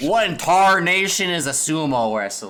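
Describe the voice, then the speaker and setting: Drawling in a put-on character voice, a man speaks at a fairly high pitch. His pace is moderate, and there is audible echo. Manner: exaggerated, folksy, drawling.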